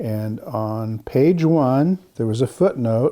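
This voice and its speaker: Here a man with an American accent uses lively intonation at a medium pitch. His tone is dark and mellow, on a very clean recording with a silent background. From US Pacific Northwest (Seattle). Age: 60s. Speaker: Orthodox monk and translator. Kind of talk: interview.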